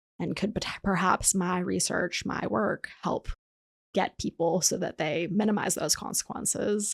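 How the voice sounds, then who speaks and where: A woman with an American accent talks at a medium pitch with vocal fry, the sound dry and close with no echo. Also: ordinary pitch variation, fairly slow pace. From Boston suburbs, Massachusetts. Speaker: clinical psychologist. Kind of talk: podcast interview.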